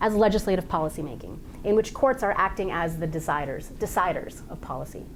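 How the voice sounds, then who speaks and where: With audible room echo and noticeable background noise, a woman speaks at a very fast pace. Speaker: legal scholar presenting a paper. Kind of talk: academic conference talk.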